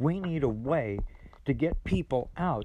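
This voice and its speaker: A man's fairly high-pitched, somewhat breathy voice at a fairly slow pace, with lively intonation. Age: 70s. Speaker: podcast host. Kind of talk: monologue.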